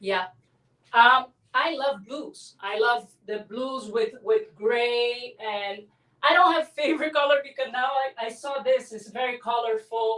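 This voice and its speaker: Speaking at a fairly slow pace in a Brazilian Portuguese accent, a woman has a bright, sharp tone, high pitch, and ordinary pitch variation. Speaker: abstract artist. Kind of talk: interview.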